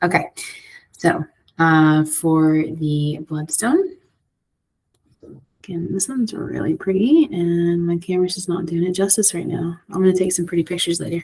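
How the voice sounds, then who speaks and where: Her pitch fairly low with ordinary variation, a woman speaks at a moderate pace with long, frequent pauses. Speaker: tarot and oracle card reader. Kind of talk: divination card reading. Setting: library. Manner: quiet; hesitant, many fillers.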